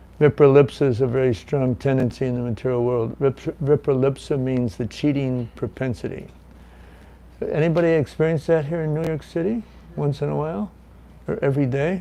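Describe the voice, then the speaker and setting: Speaking at a fairly quick pace, a man with a fairly high pitch and a dark, mellow tone shows ordinary pitch variation. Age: 70s. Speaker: guest speaker teaching a scripture class. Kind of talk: scripture class. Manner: conversational, halting.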